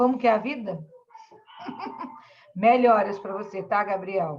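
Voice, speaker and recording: Fairly slow speech from a woman at medium pitch, with ordinary pitch variation. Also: big swings in loudness. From Brazil, Espírito Santo (Vila Velha). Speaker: school teacher. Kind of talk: online class lesson. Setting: video call.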